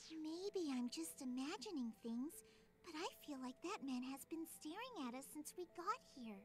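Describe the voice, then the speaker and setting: A female-sounding, put-on character voice, high-pitched, talks at a moderate pace against clear background noise. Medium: video game. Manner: polite, earnest.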